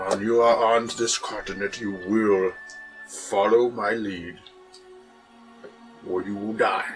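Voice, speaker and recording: A man puts on a gruff character voice at a fairly low pitch. He speaks at a fairly slow pace over clear background music. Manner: menacing.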